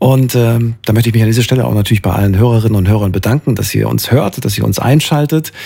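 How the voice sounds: Dark and mellow, a man's voice carries vocal fry and a slightly husky edge. He talks at a fast pace. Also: medium pitch for a man, ordinary pitch variation.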